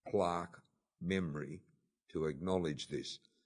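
Against a quiet background, a man with an Australian accent speaks at a fairly slow pace. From Australia, Sydney (Bondi). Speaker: documentary executive producer. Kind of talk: interview.

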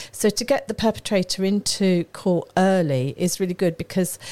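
The voice has a dark, mellow tone, ordinary pitch variation, and a moderate pace. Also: woman. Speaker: local councillor and charity chair. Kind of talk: studio guest discussion. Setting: radio studio. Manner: thoughtful, hesitant, with fillers.

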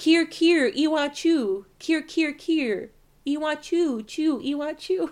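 A woman uses a put-on character voice. It sits at a high pitch. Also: fairly slow pace. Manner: calling out in a coaxing singsong.

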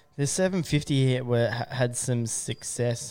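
Using an Australian accent, a man speaks at a medium pitch. His pace is moderate. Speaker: podcast host. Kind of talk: casual chat. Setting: studio.

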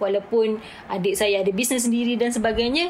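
The pace is moderate. There is noticeable background noise. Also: woman. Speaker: beauty academy CEO. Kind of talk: casual chat.

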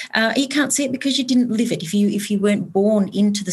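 Somewhat breathy, a woman with an Australian accent talks at a medium pitch with ordinary pitch variation. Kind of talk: panel discussion.

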